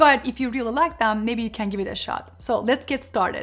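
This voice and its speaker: A woman at a high pitch, moving at a fairly quick pace. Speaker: career and productivity youtuber. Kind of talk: tutorial. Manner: fast.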